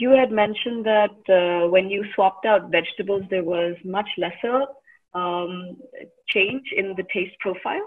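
Speaking with an ordinary speaking voice, a woman talks at medium pitch and a fairly slow pace with ordinary pitch variation. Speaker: session moderator. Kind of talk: Q&A.

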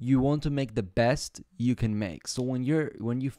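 A man's dark, mellow voice with ordinary pitch variation, dry with no echo, against a quiet background. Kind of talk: casual stream chat. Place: home room.

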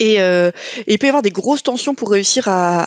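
A woman with a fairly high voice speaks with ordinary pitch variation; hers is a plain, everyday voice. The sound is dry with no echo, over a quiet background. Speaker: board game jury member. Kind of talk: casual group discussion about board games. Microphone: video call.

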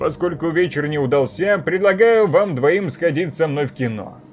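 Clear music plays behind a man doing a put-on character voice at a fairly high pitch and a moderate pace. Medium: read story. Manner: casual, easygoing.

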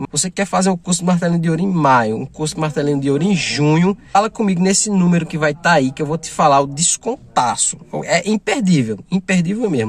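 A man talks at a very fast pace with hardly any pauses, his pitch high and his intonation lively. The tone is animated, and the sound is dry with no echo. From Brazil. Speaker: paintless dent repair trainer and shop owner. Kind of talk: sales pitch for a course promotion, direct to camera. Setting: self-recorded video for the channel. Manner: urgent, hard-selling, repeats "imperdível" for emphasis; animated, friendly, casual. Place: car. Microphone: phone near.

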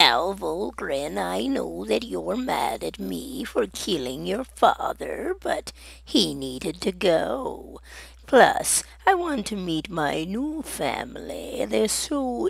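Someone speaks very slowly in a put-on character voice. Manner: smug, theatrical, menacing.

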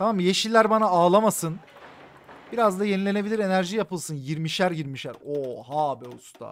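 A man speaks in a high pitch with an animated tone and lively intonation. His loudness swings widely. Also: moderate pace. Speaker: gaming streamer. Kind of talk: live game stream commentary. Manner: animated, casual with heavy swearing.

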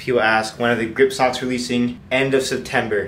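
Light background noise sits under the recording. A man speaks at a moderate pace with monotone, flat intonation. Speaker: college athlete vlogger. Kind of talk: casual vlog chat answering questions. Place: home room. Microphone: phone near.

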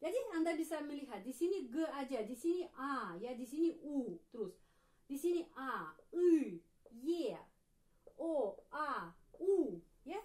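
Very slowly, with long, frequent pauses, a woman with a Russian accent speaks at a high pitch that swings very widely, against a quiet background. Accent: Russian-accented Indonesian. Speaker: Russian language teacher. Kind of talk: tutorial. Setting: video lesson. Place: home room. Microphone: camera far.

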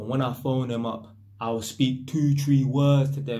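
A man speaks in a dark, mellow, somewhat breathy voice. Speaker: vlogger. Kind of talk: casual vlog chat. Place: home room. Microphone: phone near.

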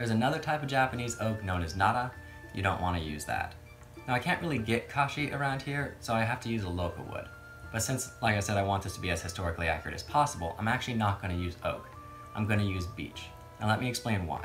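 The speech comes at a very fast pace. Clear music plays in the background. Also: man, fairly low pitch for a man. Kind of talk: casual vlog chat. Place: workshop.

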